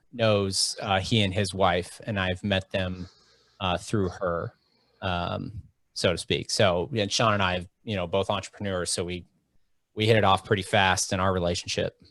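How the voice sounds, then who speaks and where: Speaking with an American accent, a man with a very deep, low voice goes at a fairly slow pace in monotone, flat intonation. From Oxford, Ohio. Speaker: podcast host. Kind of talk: casual interview chat.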